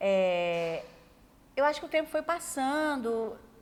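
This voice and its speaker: Lively intonation marks this woman's speech. Her pitch is high. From Brazil, Minas Gerais (Zona da Mata). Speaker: journalist, TV news director. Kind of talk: interview.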